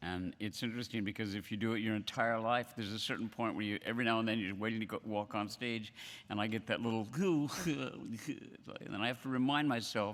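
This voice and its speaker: A very clean recording with a silent background, of a man at medium pitch, a fairly quick pace and ordinary pitch variation. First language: not English. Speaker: event host. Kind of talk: stage introduction. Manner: halting.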